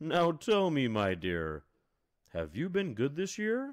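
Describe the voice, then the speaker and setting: Here is a put-on character voice. It moves along at a fairly slow pace. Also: man, fairly high pitch for a man. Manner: jolly.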